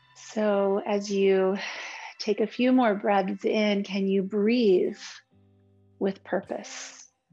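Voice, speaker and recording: Over faint background music, a woman speaks at a very slow pace with a monotone, flat intonation. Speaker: yoga instructor. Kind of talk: guided class instruction. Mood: calm, slow, soothing. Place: home room.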